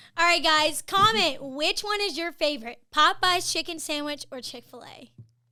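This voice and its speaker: With an American accent, a woman uses a raised, projected voice with a bright, sharp tone and an extremely high pitch, speaking at a moderate pace. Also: ordinary pitch variation, big swings in loudness. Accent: Southern US, comes out at times. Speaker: marketing video host. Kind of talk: casual chat. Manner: hesitant, many fillers.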